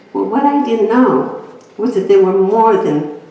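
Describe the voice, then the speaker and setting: At a moderate pace, a woman talks in a room with audible echo and noticeable background noise. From Greece. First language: Greek. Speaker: inspirational speaker. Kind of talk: personal testimony talk.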